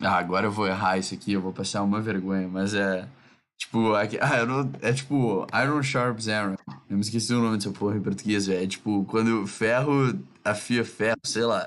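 A man talks in an unremarkable speaking voice at a fairly low pitch, with ordinary pitch variation. His pace is moderate and his loudness very even, over a quiet background. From southern Brazil. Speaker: podcast host.

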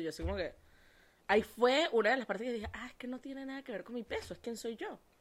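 A woman speaks at a very fast pace in a fairly high pitch. Her tone is animated and her intonation lively. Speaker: podcast host and life coach. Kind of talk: casual chat.

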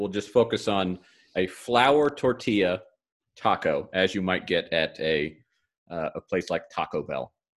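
Vocal fry and very wide pitch swings on a very clean recording with a silent background. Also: man. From not from the Shenandoah Valley. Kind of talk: casual interview. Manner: hesitant, many fillers and repeats.

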